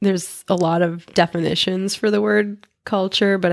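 Speaking at a moderate pace, a woman has a normal speaking voice with a fairly low pitch and ordinary pitch variation. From US, Portuguese-Azorean immigrant community. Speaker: podcast host. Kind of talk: casual chat.

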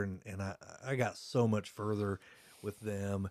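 Speaking in a Midwestern American accent, a man with a fairly low pitch talks at a moderate pace. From Indiana, Blackford County. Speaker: podcast host. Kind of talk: casual chat. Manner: talkative.

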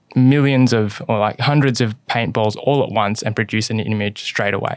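A man with an Australian accent speaks in a fairly even intonation on a very clean recording with a silent background. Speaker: investment analyst. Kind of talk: casual interview chat. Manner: frequent fillers (um, sort of).

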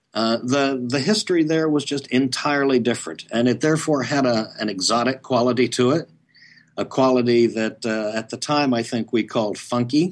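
An ordinary speaking voice with an American accent talks at a moderate pace with ordinary pitch variation. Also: man, medium pitch for a man. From Oklahoma. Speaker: history professor and author. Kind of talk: interview.

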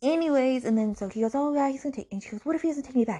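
A woman's dark, mellow tone comes through over a quiet background. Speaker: book podcast host. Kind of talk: angry rant, book review. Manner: fuming, outraged, repeating 'I'm so mad'; fast, sarcastic, swearing.

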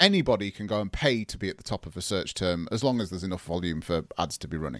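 The recording is very clean, with a silent background and a dry, close sound with no echo. A man talks in an English accent. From England. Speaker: digital agency owner. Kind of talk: podcast interview, explanatory.

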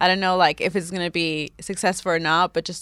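A woman's ordinary speaking voice with an American accent, fairly low in pitch and at a fairly quick pace, in a very clean recording with a silent background. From New York. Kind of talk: casual interview.

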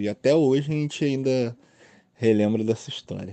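This is a man speaking. His pace is moderate. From Brazil, Rio de Janeiro. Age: 20s. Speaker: listener sharing a story. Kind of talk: recorded personal story.

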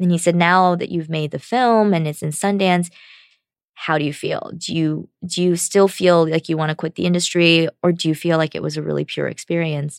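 This woman has a normal speaking voice, fairly low in pitch, with fairly even intonation. She talks at a moderate pace, and the sound is dry and close with no echo. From China, raised in the US from childhood. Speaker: film director. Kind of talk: interview.

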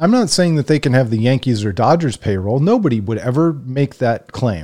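With an American accent, a man speaks at a moderate pace in a dark, mellow tone with very wide pitch swings. The recording is very clean, with a silent background. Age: 40s. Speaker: sports podcast host. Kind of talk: solo commentary monologue. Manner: conversational with frequent hesitations.

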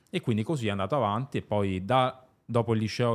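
A man's voice shows ordinary pitch variation, captured on a very clean recording against a silent background. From Luxembourg. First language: German (speaking Italian). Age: 20s. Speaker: entrepreneur. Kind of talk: interview.

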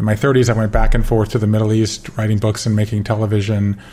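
A somewhat breathy, fairly low male voice with an American accent at a very fast pace. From US South, Georgia. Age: 50s. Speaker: author. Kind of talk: interview.

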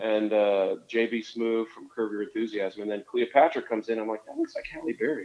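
Speaking with an American accent, a man keeps up a fairly quick pace. He uses hardly any pauses. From northern Indiana, US Midwest. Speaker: singer-songwriter and novelist. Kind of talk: casual interview.

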